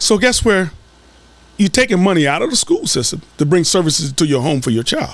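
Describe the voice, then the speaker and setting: With an American accent, a man talks at a fairly quick pace and a high pitch, his pitch swinging very widely. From US South. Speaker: school board candidate. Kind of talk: podcast interview.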